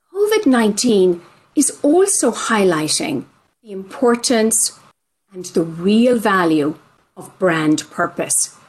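A woman speaks at a very slow pace with an Irish accent. Her pitch sits in the medium range. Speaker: podcast host and marketing executive. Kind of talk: moderated panel discussion. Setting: video call. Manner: formal.

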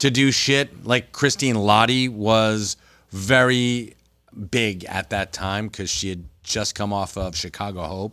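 A man with a New Jersey accent speaks at a fairly low pitch in a bright, sharp tone. The recording is very clean with a silent background. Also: ordinary pitch variation, fairly slow pace. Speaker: comic book store manager. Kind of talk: casual chat. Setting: retail store, live stream. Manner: animated.

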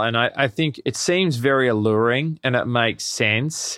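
This man speaks with an Australian accent at a fairly slow pace. His voice sits at a medium pitch with ordinary pitch variation. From Australia, Melbourne. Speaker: cafe chain founder and CEO. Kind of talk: interview.

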